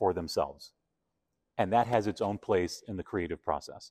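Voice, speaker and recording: A man with an American accent and a fairly low pitch, an unremarkable speaking voice with ordinary pitch variation, in a dry, close sound with no echo and a very clean recording over a silent background. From Argentina. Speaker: arts executive. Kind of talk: casual interview conversation.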